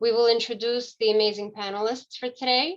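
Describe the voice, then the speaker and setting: Delivered at a moderate pace, a plain, everyday voice keeps a fairly even intonation. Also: woman. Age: 40s. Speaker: social work student ambassador, event co-host. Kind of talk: panel presentation. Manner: formal.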